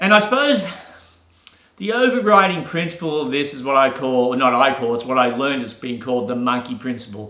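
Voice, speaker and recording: With lively intonation and a fairly quick pace, a man talks at medium pitch amid audible room echo. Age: 60s. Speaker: real estate agent and business coach. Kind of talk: motivational talk. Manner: casual, repeats words.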